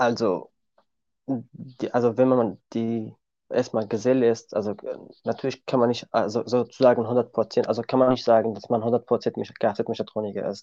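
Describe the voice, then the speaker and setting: Over a quiet background, a man with a Kurdish accent speaks at medium pitch in a monotone, flat delivery with a dark, mellow tone and a dry, close sound with no echo. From Syria. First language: Kurdish (speaking German). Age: 20s. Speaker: car mechanic. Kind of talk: interview. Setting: video call.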